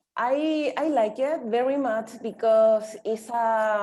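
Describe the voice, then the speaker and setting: Speaking at a very slow pace with a Spanish accent, a woman has a fairly high pitch and a dark, mellow tone. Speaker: English learner participant. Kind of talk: casual group discussion. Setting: video call. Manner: halting.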